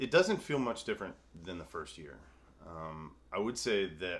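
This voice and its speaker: A man talks with a Mississippi accent. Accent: Southern US (Mississippi). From US South. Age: 30s. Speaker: recovering alcoholic interviewee. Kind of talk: interview. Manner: halting, many fillers.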